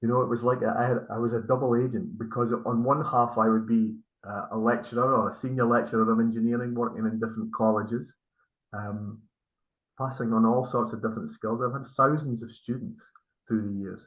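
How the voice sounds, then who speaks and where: The speaker has a Scottish accent and a fairly quick pace. The intonation stays fairly even. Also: man, medium pitch for a man. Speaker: spiritual healer. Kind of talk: interview. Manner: halting.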